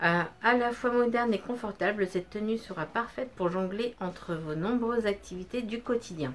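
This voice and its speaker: Moderate pace from a woman at medium pitch, with ordinary pitch variation. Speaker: beauty vlogger. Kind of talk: unboxing review. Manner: loud; hesitant, many fillers. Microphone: no microphone, camera audio.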